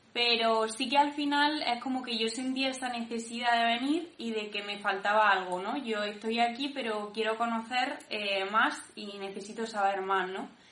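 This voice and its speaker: In a room with audible echo, a woman speaks at a fairly high pitch and moderate pace, her tone bright and sharp and her intonation fairly even. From Granada, Spain. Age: 20s. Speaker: discipleship school participant. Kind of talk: personal testimony.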